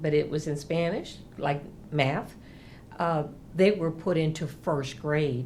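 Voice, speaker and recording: In an American accent, a woman speaks fairly slowly at a fairly low pitch, with audible room echo. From US South, South Texas (near the Mexican border). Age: 60s. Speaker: interviewee, former student activist. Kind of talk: documentary interview.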